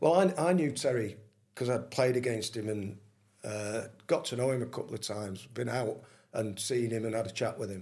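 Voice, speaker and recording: Fairly quick speech with vocal fry, in a Manchester accent. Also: man, medium pitch for a man, ordinary pitch variation. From Manchester, England. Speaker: retired footballer. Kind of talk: casual interview.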